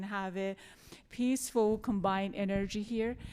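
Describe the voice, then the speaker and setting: Speaking with a non-native accent, a woman goes at a fairly slow pace. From Iran, Tehran. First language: Farsi. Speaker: journalist and panel facilitator. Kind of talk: post-show panel discussion. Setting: theater stage with audience.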